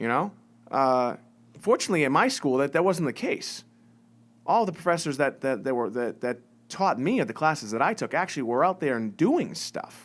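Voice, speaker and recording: A man talks with a slight Massachusetts accent at a moderate pace. His pitch is fairly high and his intonation lively. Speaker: business owner and success coach. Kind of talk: live-stream monologue. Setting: live video stream. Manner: casual, many fillers and repetitions.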